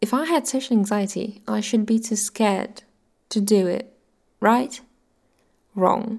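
A woman talks at a fairly slow pace with long, frequent pauses. Her pitch is fairly high, with ordinary variation. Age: 20s. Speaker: YouTuber and podcaster. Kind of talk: personal monologue. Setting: audio-only recording.

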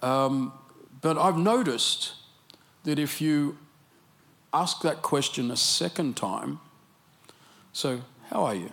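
An Australian-accented man speaks at a very slow pace with long, frequent pauses. His pitch is fairly high and his intonation lively. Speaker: preacher. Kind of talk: sermon. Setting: church.

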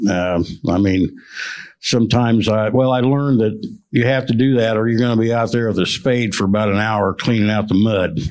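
With an American accent, a man speaks in an unremarkable speaking voice at a medium pitch, keeping very even loudness and fairly even intonation. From central Illinois. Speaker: farmer. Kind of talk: panel discussion.

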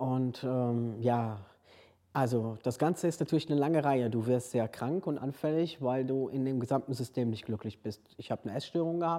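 A man speaks at a moderate pace in a medium pitch, with a dark, mellow tone and ordinary pitch variation. The recording is very clean with a silent background. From Hungary. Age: 40s. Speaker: transgender man sharing his story. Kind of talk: interview testimony.

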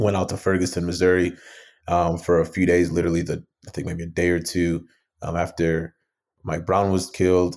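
The monotone, flat intonation carries an American accent at a fairly quick pace on a very clean recording with a silent background. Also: man, very deep, low pitch for a man. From Minnesota, Twin Cities suburbs (born Nigeria, emigrated at six). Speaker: startup founder and CEO. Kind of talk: interview. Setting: podcast interview. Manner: frequent fillers and repetitions.

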